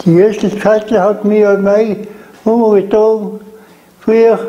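Speaking very slowly in a high pitch, a man talks with a South Tyrolean accent. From South Tyrol, Lana. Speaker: contemporary witness. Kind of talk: interview answer. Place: home room. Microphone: lapel.

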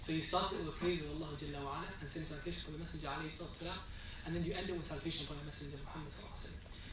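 Audible room echo and clear background noise surround this recording. A man with a fairly high pitch speaks at a very fast pace.

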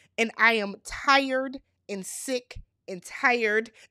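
Against a quiet background with a dry sound and no echo, a woman speaks in an animated, bright, sharp tone at a fairly high pitch, varying it in an ordinary way. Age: 30s. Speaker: YouTube reality TV recapper. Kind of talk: casual recap monologue. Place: home room. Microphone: studio mic.

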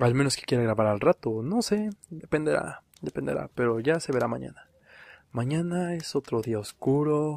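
A soft-spoken man talks at a fairly slow pace in a dry, close sound with no echo, on a very clean recording with a silent background. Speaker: podcaster. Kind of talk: horror storytelling.

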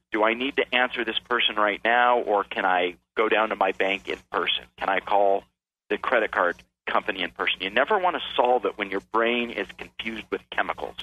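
This man has an ordinary speaking voice with an American accent. He talks at a medium pitch and a fairly quick pace, with ordinary pitch variation. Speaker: author and keynote speaker. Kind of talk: radio interview.

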